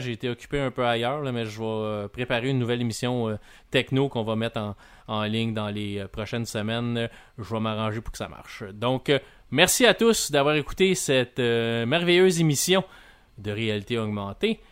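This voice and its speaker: A man speaks in a Quebec accent with ordinary pitch variation. The recording is very clean, with a silent background. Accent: Québécois French. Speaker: podcast host, video game reviewer. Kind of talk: casual chat and interview.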